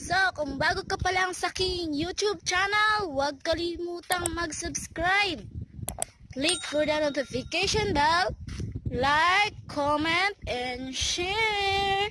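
Speaking in a raised, projected voice, a woman goes at a very slow pace with ordinary pitch variation. Noticeable background noise surrounds the dry sound, which has no echo. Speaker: vlogger filming. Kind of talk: casual vlog chat. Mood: cheerful excited. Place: waterside. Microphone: phone near.

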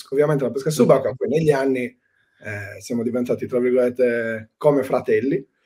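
Against a quiet background, a man with a dark, mellow tone talks at a fairly quick pace with fairly even intonation. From Sardinia, Cagliari; Sardinia, Italy. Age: 30s. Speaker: spearfisherman and excursion guide; excursion guide. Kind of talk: casual interview. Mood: relaxed, reflective.

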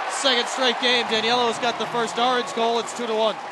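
Crowd noise fills the background as a man speaks at a fairly quick pace. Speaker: play-by-play announcer. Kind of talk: live play-by-play lacrosse commentary, rapid clipped calls building to a goal shout. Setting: broadcast booth at a packed stadium. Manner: rapid-fire, staccato phrasing as the clock winds down; escalates to an excited shout on the goal.

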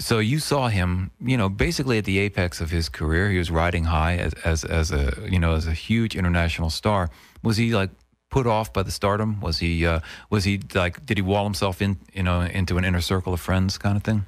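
A man with a very deep, low pitch speaks at a fairly quick pace with ordinary pitch variation and very even loudness. The sound is dry with no echo, and the background is quiet. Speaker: radio host interviewer. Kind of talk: interview questions. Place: studio.

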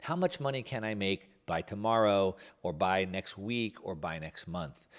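The intonation is lively. Behind it, the background stays quiet. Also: man. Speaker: show host. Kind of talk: commentary. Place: studio. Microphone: studio mic.

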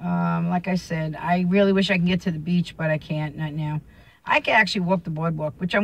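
A woman speaks at a fairly quick pace with a fairly low pitch. Her voice is somewhat breathy, and her intonation stays fairly even. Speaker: vlogger. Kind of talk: casual vlog chat. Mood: relaxed, chatty. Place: car. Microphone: phone near.

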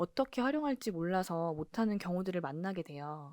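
A woman's medium-pitched voice in a dark, mellow tone, lively in intonation and fairly quick in pace, dry and close with no echo on a very clean recording with a silent background. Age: 40s. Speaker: embroidery workshop owner and YouTuber. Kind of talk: casual vlog monologue.

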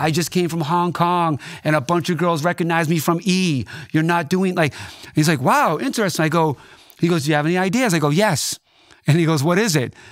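Speaking at a fairly quick pace in an animated tone, a man with a Boston accent and a high pitch keeps his loudness very even against a quiet background. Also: ordinary pitch variation. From Boston, Dorchester. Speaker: DJ and record producer; DJ. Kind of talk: casual interview chat. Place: studio. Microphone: studio mic.

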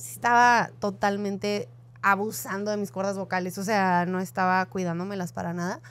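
A woman's medium-pitched voice at a moderate pace, an ordinary speaking voice, on a very clean recording with a silent background. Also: ordinary pitch variation. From northern Mexico, Ciudad Juárez. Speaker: podcast co-host. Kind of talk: casual interview chat.

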